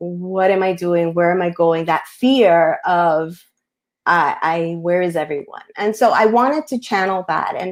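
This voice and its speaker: A woman with a Spanish accent and a fairly low pitch is heard in a very clean recording with a silent background. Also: ordinary pitch variation, fairly slow pace. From US Northeast, Queens, New York, Colombian family. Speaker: picture book author. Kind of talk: panel discussion. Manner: halting, many fillers.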